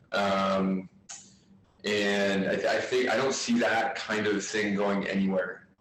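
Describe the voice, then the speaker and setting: Over noticeable background noise, the voice moves at a very slow pace with monotone, flat intonation and very even loudness. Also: man, fairly low pitch for a man. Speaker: physiotherapist. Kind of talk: casual discussion on video call. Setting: video call. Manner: hesitant, many fillers.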